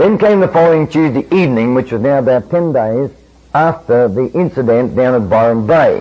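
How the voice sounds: Lively intonation runs through the delivery. The reading voice sounds natural.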